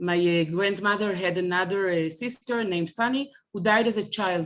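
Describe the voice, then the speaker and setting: A woman's medium-pitched speech at a moderate pace with ordinary pitch variation. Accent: Israeli. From Israel. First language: Hebrew. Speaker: speaker on family Holocaust history. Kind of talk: online presentation. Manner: halting.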